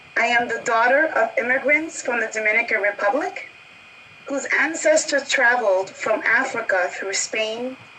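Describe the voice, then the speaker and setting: Against noticeable background noise, a woman speaks at a high pitch and a moderate pace. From New York City. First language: Spanish. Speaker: marketing executive panelist. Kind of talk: panel discussion introduction.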